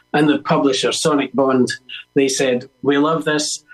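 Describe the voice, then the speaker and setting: A man talks at a moderate pace in a Scottish accent. Music plays in the background. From Scotland, Edinburgh. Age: 70s. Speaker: musician and author. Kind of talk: interview. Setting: radio broadcast.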